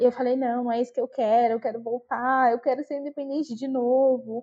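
At a fairly quick pace, a woman with a high pitch speaks in fairly even intonation. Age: 20s. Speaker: customer service supervisor. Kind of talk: interview, personal story.

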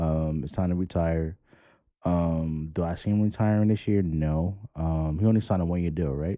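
A man with a New York accent, very deep and low in pitch, dark and mellow in tone, with fairly even intonation and a moderate pace on a very clean recording with a silent background. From New York, the Bronx. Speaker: podcast co-host. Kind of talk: casual chat.

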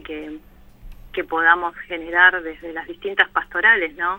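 Keeping her intonation fairly even, a woman with a fairly low pitch speaks at a moderate pace. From Buenos Aires, Argentina (Villa Zabaleta, Barracas). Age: 40s. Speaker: parish community worker in a shantytown. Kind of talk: radio interview. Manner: halting, many fillers.

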